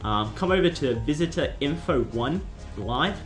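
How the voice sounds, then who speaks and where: Music can be heard behind the voice. The speaker is male. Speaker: YouTube tutorial maker. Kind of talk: casual screen-recording tutorial. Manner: casual, hesitant with fillers.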